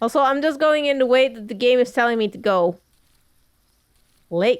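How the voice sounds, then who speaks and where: Speaking at a moderate pace, a woman with a high voice shows ordinary pitch variation and big swings in loudness. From Netherlands. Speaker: gaming youtuber. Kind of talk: let's play commentary. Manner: casual, joking.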